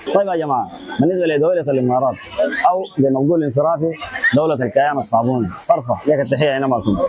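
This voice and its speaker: A man's very fast speech at a fairly high pitch, with ordinary pitch variation and noticeable background noise. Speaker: street interviewee. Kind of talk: street interview opinion. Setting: outdoors, street.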